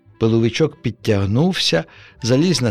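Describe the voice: The speaker uses plain reading aloud with lively intonation.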